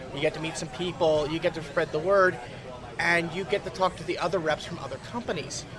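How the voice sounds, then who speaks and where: Over noticeable background noise, a man talks at a fairly quick pace in a high voice. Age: 30s. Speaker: game company demonstrator. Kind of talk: convention interview. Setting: game convention floor.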